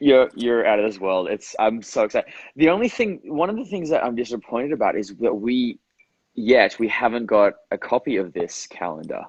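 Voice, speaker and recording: A man talks at a fairly quick pace with an Australian accent. The sound is dry and close, with no echo. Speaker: actor. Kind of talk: casual chat. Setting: Instagram live video.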